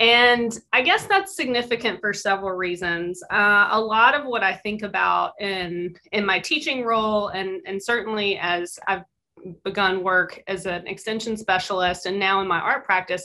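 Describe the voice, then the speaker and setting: In a slight Mississippi accent, a woman speaks with a bright, sharp tone. Her pitch is medium, with ordinary pitch variation. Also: moderate pace. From US South, Mississippi Delta. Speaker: visual artist and university teacher. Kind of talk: artist talk presentation. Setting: video call.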